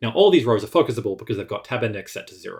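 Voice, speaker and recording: A man at a medium pitch speaks with lively intonation and a somewhat breathy voice. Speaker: web developer. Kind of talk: tutorial. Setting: screencast. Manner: fast.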